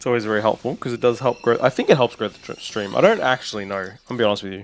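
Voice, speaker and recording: A man with a medium-pitched voice talks at a very fast pace over background music, his pitch varying in an ordinary way while his loudness swings widely. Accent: Australian. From Australia. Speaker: gaming streamer. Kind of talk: casual live stream chat. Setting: live stream. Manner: calm, relaxed; not loud.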